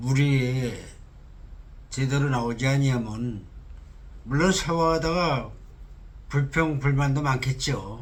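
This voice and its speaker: A very slow, somewhat breathy delivery with long, frequent pauses, ordinary pitch variation, and audible room echo. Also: man, medium pitch for a man. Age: 60s. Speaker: candidate for cooperative head. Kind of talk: interview. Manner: halting.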